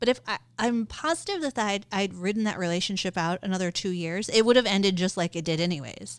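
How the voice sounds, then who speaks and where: The speech moves at a fairly quick pace in an animated tone, with hardly any pauses. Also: woman, medium pitch for a woman, ordinary pitch variation. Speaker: podcast co-host. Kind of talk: casual chat.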